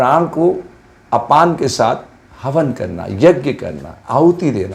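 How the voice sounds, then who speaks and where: This man's fairly high voice carries vocal fry. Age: 70s. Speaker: yoga teacher. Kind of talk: lecture.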